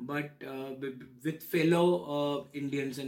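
A man's monotone, flat intonation. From India, Kolkata. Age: 30s. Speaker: immigrant student. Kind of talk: oral history interview. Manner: halting, frequent fillers and repetitions.

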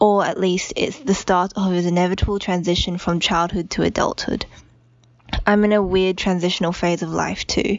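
Intonation stays fairly even while noticeable background noise runs underneath. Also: woman. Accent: Australian. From Australia. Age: 20s. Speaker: listener leaving voicemail. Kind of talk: voicemail message. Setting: phone voicemail.

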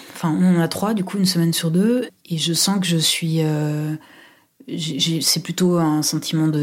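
A woman's fairly low voice, at a fairly slow pace with fairly even intonation. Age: 30s. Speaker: university administrator. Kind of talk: personal testimony. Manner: halting, many fillers.

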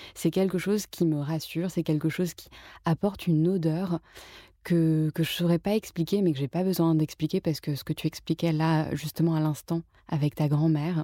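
A woman speaks with a very deep, low pitch and a dark, mellow tone at a fairly slow pace, with fairly even intonation and long, frequent pauses. The recording is very clean, dry and close, with a silent background and no echo. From France, Paris. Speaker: journalist and author. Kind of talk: casual interview. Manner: hesitant with frequent fillers.

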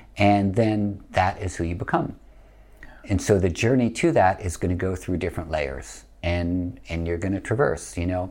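Speaking with an American accent, a man uses a very deep, low pitch with ordinary variation at a moderate pace. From US Northeast. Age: 50s. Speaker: yoga teacher. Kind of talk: podcast interview.

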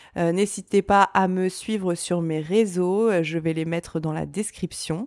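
An ordinary speaking voice at a fairly slow pace, in a dry, close sound with no echo. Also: woman. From France, Reims. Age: 30s. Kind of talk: solo podcast monologue. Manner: cheerful, upbeat.

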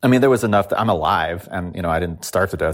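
A man with a very deep, low pitch speaks in a Californian accent. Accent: Californian American. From Los Angeles, San Fernando Valley. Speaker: musician. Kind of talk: interview. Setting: home, remote recording.

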